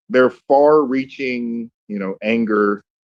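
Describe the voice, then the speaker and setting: Here a man is speaking. He has a Southern accent. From US South, Columbus, Georgia. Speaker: city council candidate. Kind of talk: casual chat. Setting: online audio room.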